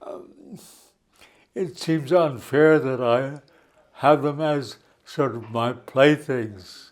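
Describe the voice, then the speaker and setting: A man talks at a very slow pace with long, frequent pauses and big swings in loudness. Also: ordinary pitch variation. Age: 80s+. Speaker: retired psychiatrist and cybernetician. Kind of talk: interview. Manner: halting.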